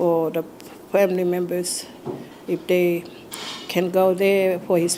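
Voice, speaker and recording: A woman speaks in a monotone, flat delivery at a fairly low pitch. Noticeable background noise runs underneath. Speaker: Anglican priest. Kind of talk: interview testimony. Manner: hesitant, with fillers.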